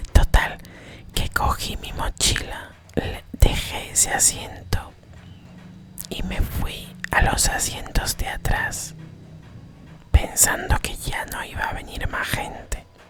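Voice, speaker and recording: A woman whispers at a very slow pace, with long, frequent pauses and big swings in loudness. Noticeable background noise sits behind her. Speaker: ASMR creator. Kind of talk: ASMR storytelling for sleep, travel anecdote. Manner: whispered, soft-spoken.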